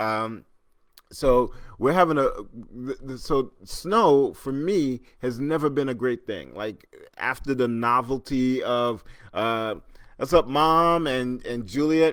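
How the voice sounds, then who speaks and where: A man speaks very slowly, recorded very cleanly against a silent background. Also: medium pitch for a man, ordinary pitch variation. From Trinidad. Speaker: podcast host. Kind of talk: casual live-stream chat. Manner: halting, with many fillers and repeated words.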